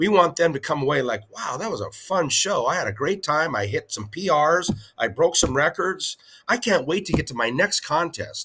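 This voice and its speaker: A man with a high pitch and a bright, sharp tone talks at a moderate pace with lively intonation. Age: 60s. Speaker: powerlifting federation president. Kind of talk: interview.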